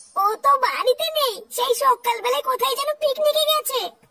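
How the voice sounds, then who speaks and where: A cartoonish character voice speaks at a moderate pace. The sound is dry and close, with no echo. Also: woman, extremely high pitch for a woman. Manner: fretful.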